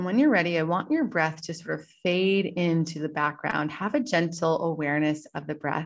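With hardly any pauses, a woman talks in a plain, everyday voice, fairly low in pitch with ordinary variation, on a very clean recording with a silent background. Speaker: podcast host and yoga teacher. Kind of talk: guided meditation. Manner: slow, calm, soothing, gently paced with pauses; soft-spoken, warm and instructive.

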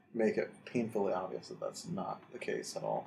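This is an ordinary speaking voice. A man talks at a medium pitch and a fairly slow pace. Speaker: podcast host. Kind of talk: casual chat.

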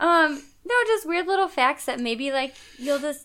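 Over noticeable background noise, a woman speaks at a moderate pace. Her high pitch moves through very wide swings. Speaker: podcast co-host. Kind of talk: casual chat. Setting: home couch recording.

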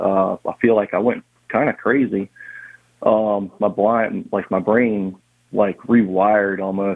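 A man speaks with a New Orleans accent at a fairly slow pace. His pitch is fairly low and his intonation fairly even. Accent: New Orleans area Southern US. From Louisiana, Harahan (New Orleans area). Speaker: blind massage therapist. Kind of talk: interview. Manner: halting, many fillers.

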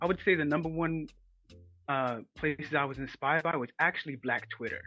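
The speaker is a man with a New York accent. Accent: New York American. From Ghanaian heritage, raised in New York. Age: 20s. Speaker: illustrator. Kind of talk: interview. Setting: phone call.

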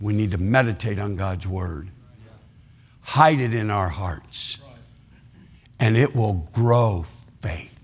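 A man with an American accent speaks at a very slow pace in a fairly low, somewhat breathy voice, leaving long, frequent pauses. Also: ordinary pitch variation. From Ohio. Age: 60s. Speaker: retired pastor, guest preacher. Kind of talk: sermon. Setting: church service with congregation.

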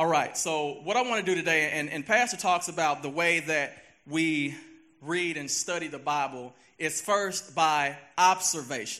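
A man speaks at a moderate pace in a fairly high pitch. His pitch varies in an ordinary way against a quiet background. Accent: Southern US. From US South, Memphis, Tennessee. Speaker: lay preacher. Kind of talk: sermon. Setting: church.

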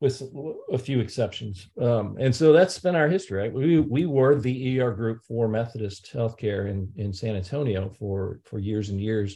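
Speaking at a moderate pace with an American accent, the man has a medium pitch, a dark, mellow tone, lively intonation and a somewhat breathy quality. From US Midwest, St. Louis, Missouri. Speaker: emergency physician. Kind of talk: interview.

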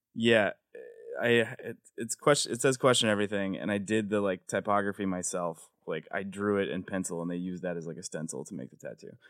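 Recorded very cleanly against a silent background, a man with an American accent has an ordinary speaking voice, fairly low pitch, and ordinary pitch variation. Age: 30s. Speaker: comedian and TV writer. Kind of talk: casual chat. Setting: studio.

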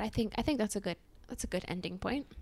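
A woman with a Mid-Atlantic accent speaks at a medium pitch. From US, Maryland (Montgomery County, near DC). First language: Spanish. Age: 20s. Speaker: podcast co-host. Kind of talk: casual chat.

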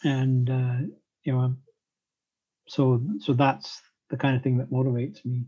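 A man's medium-pitched, somewhat breathy voice, fairly slow and flat in a monotone, with long, frequent pauses. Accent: Canadian. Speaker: podcast co-host and author. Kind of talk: interview. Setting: video call.

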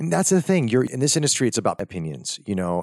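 On a very clean recording with a silent background and dry, close sound with no echo, a man speaks in an animated tone at a very fast pace. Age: 40s. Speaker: actor, model and radio host. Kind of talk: casual interview chat. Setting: studio. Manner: gregarious, animated.

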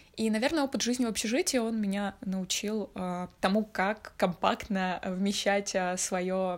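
A woman's medium-pitched, plain, everyday voice with fairly even intonation, on a very clean recording against a silent background. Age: 20s. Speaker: podcast co-host. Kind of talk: casual chat. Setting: call.

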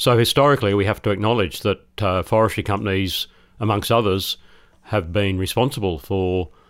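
With an Australian accent, this man talks. His voice is fairly low. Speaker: professor. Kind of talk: interview. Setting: remote studio.

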